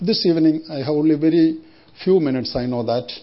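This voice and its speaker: A man with an Indian accent speaks in a somewhat breathy voice with ordinary pitch variation. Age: 60s. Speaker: missionary preacher. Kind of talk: sermon. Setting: church.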